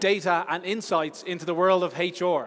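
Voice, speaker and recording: A man is speaking. He has an Irish accent. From Ireland. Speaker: conference speaker. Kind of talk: conference talk. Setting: stage with audience. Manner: fast.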